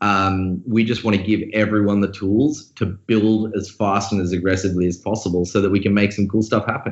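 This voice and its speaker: A man's fairly low voice at a fairly quick pace, with very even loudness, fairly even intonation and hardly any pauses. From Australia. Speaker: crypto company founder. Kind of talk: interview conversation.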